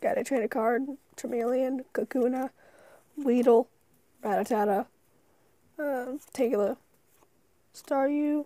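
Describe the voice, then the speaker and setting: A woman speaks quietly at a very slow pace, high in pitch with fairly even intonation. Her dark, mellow tone comes through a dry, close sound with no echo. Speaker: YouTuber opening card packs. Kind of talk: casual unboxing commentary.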